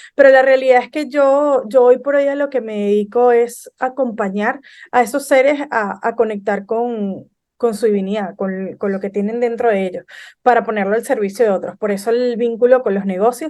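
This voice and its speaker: A woman with a fairly high pitch and a dark, mellow tone speaks at a moderate pace with ordinary pitch variation against a quiet background. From Venezuela. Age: 30s. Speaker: business consultant. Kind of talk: podcast interview.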